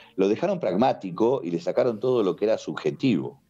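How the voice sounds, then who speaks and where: A man at a fairly quick pace, with a Rioplatense accent. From Uruguay, Montevideo. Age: 60s. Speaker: karate teacher. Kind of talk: podcast interview. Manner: animated.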